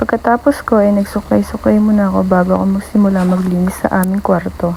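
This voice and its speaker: A woman keeps her intonation fairly even amid noticeable background noise. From Philippines. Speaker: vlogger, domestic worker and babysitter. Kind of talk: vlog narration. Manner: shy.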